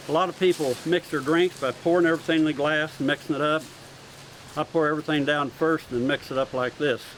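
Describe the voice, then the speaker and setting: At a very fast pace, a man talks in a fairly high pitch with fairly even intonation. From California. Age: 70s. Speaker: sword swallower and stage performer. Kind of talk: live performance patter. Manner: folksy joking showman.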